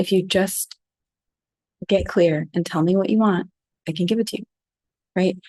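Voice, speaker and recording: Soft-spoken, a woman with an American accent talks in a fairly low voice with fairly even intonation. The sound is dry and close with no echo. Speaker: flower essence teacher. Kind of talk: talk on a group call. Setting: group call.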